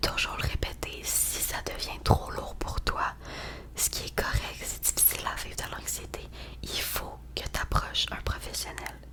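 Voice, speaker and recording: A woman whispering at a fairly slow pace with a Quebec accent, amid noticeable background noise. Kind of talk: ASMR roleplay. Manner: whispered.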